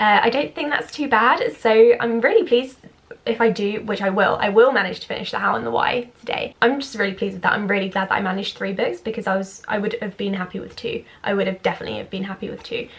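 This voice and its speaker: A woman with a British accent, fairly high in pitch, very fast, with ordinary pitch variation and noticeable background noise. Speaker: book vlogger. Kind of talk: casual vlog.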